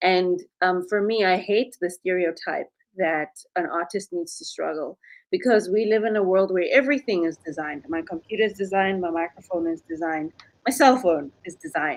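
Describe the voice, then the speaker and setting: A woman speaks at a medium pitch with an African accent. Her pitch moves in an ordinary way, and her pace is fairly quick. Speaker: animation studio owner and podcaster. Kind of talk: panel discussion.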